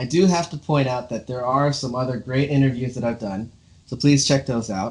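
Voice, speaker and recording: A man with an American accent, medium in pitch with ordinary pitch variation, an unremarkable speaking voice. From Los Angeles, US West Coast. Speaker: drummer, interview show host. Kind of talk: casual interview chat.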